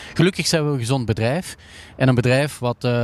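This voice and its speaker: Here a man speaks with ordinary pitch variation. The sound is dry and close, without any echo. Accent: Flemish. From Flanders, Belgium. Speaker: company CEO. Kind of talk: interview. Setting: empty indoor ski hall. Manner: halting, many fillers.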